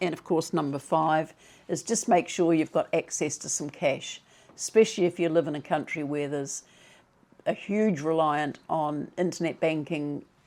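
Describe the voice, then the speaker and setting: A woman speaks in a dark, mellow tone at a fairly low pitch. Her pace is fairly slow and her intonation fairly even. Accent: New Zealand. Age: 70s. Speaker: retirement vlogger. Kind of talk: advice talk to camera.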